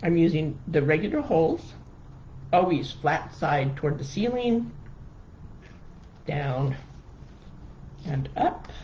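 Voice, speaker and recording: The delivery is very slow, broken by long, frequent pauses. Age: 60s. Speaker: wreath maker. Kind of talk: live crafting tutorial. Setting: live stream. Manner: halting, many fillers; casual, chatty.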